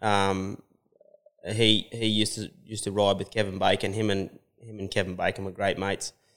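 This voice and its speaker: A man with an Australian accent talks at a fairly quick pace. His pitch is fairly low, and his intonation is monotone and flat. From New South Wales, Australia. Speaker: cutting horse trainer and rider. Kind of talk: casual interview. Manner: halting, many repeats and fillers.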